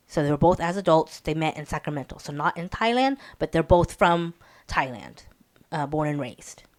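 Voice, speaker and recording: A woman with an American accent and a very deep, low pitch speaks at a fairly quick pace with lively intonation, the sound dry and close with no echo on a very clean recording with a silent background. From US, Hmong American community. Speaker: podcast host. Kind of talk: casual chat. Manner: hesitant, many fillers.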